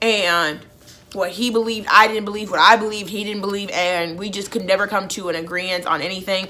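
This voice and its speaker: Medium pitch from a woman at a fairly quick pace, ordinary pitch variation and audible room echo. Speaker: YouTuber. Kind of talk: storytime vlog. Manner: casual, filler-heavy.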